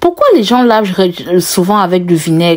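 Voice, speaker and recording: At a fairly slow pace, a woman talks in a strong Cameroonian accent. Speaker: lifestyle vlogger. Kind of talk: cooking vlog narration. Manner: casual, chatty.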